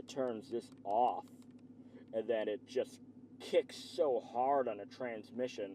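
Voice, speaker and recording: Against noticeable background noise, a man talks very slowly. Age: 40s. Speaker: car vlogger. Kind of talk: casual car review vlog. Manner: animated.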